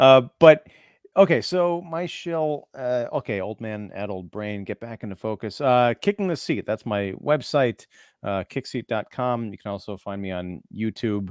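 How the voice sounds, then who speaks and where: Fairly slow speech from a man with a normal speaking voice, medium pitch and lively intonation, big swings in loudness, on a very clean recording with a silent background and a dry, close sound with no echo. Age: 40s. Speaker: film critic and podcaster. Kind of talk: casual chat.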